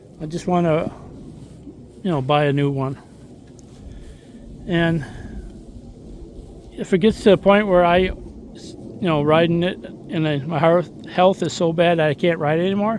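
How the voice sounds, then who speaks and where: This man speaks with a high pitch and fairly even intonation, leaving long, frequent pauses. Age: 60s. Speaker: motorcycle vlogger. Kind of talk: casual vlog monologue. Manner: rambling, halting.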